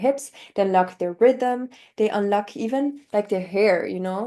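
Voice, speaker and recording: A woman with a German accent speaks at a moderate pace and medium pitch, with ordinary pitch variation and a dark, mellow tone. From northern Italy. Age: 20s. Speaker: polyglot language learner. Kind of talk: interview.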